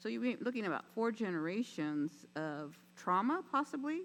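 The speaker is a woman. She lets her pitch range very widely up and down. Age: 70s. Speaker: city council member. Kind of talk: council meeting Q&A. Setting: council chambers. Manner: halting.

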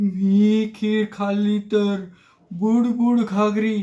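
This is a put-on character voice, shaky and fairly high in pitch. The intonation is monotone and flat. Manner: trembling with fear.

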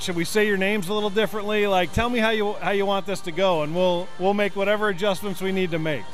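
A man with a high pitch talks at a very fast pace with hardly any pauses and fairly even intonation. The sound is dry with no echo, and music plays in the background. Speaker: public address announcer. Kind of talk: interview answer. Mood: friendly, upbeat. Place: hall. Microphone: handheld.

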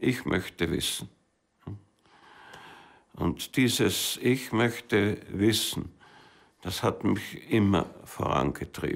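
Over a quiet background, a man talks at a very slow pace with long, frequent pauses. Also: fairly low pitch for a man, lively intonation. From Austria. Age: 80s+. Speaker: mountaineer and filmmaker. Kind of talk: interview answer. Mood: reflective, reminiscing. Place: studio.

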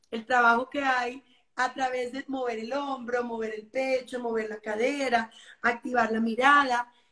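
A woman's high-pitched voice, bright and sharp in tone, moves at a fairly slow pace in a monotone, flat intonation, with audible room echo over a quiet background. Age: 40s. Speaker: yoga and dance teacher, wellness guide; dance teacher, wellness guide. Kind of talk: interview on live stream. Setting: live video stream. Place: home room. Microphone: video call.

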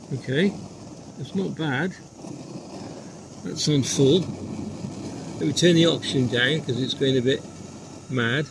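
A man speaks slowly at a medium pitch, with long, frequent pauses. His pitch varies in an ordinary way over faint background noise.

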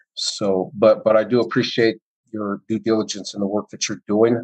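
At a fairly quick pace, a man with a fairly low pitch speaks in a monotone, flat intonation, with a dry, close sound and no echo. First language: Spanish heritage, does not speak it. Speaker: school board member. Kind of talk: board meeting discussion. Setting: video call.

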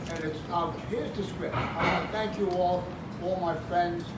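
A man at a fairly slow pace, with loud background noise and audible room echo. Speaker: restaurant owner giving speech. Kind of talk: short ribbon-cutting speech. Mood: warm, grateful. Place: bar.

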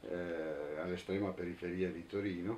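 A man speaks at a fairly slow pace. His tone is dark and mellow. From Italy, Turin; Italy. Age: 60s. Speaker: anarchist activist, witness; witness. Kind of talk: testimony interview; interview answer. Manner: halting, with fillers and repetitions. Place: home room.

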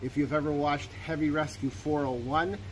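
With ordinary pitch variation and a moderate pace, a man talks over light background noise. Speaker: equipment reseller. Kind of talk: tutorial. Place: open country.

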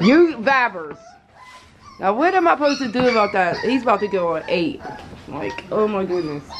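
A woman's voice with very wide pitch swings, over noticeable background noise. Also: moderate pace. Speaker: mother vlogger. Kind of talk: casual vlog chat. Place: home room.

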